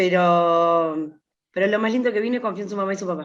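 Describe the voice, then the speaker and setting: A woman speaks in a plain, everyday voice, medium in pitch with ordinary pitch variation. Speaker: workshop participant. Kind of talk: personal testimony.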